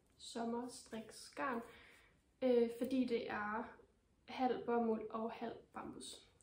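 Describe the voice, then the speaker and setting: A woman speaks at a high pitch, with audible room echo and noticeable background noise around her. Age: 20s. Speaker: knitting podcaster. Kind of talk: casual vlog talk. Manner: hesitant, many fillers.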